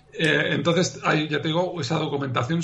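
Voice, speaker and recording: A man is speaking at a moderate pace. Noticeable background noise is present. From Uruguay, raised abroad in several countries. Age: 50s. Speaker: novelist. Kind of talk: interview.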